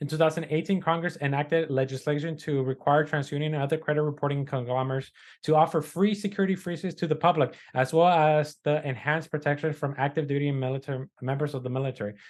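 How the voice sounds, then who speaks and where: A very fast, fairly even-toned man's voice, fairly high in pitch, with a non-native accent. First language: not English. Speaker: podcast co-host, credit repair business owner. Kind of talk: casual news discussion, reading articles aloud. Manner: halting, with fillers and self-corrections.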